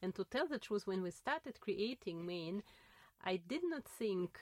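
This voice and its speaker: A woman speaks at a medium pitch with lively intonation and very even loudness. The very clean recording has a silent background and a dry, close sound with no echo. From Russia. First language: Russian. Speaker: linguistics professor and researcher. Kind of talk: interview, casual academic conversation. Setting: studio, filmed in a lab. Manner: hesitant, with fillers and laughs.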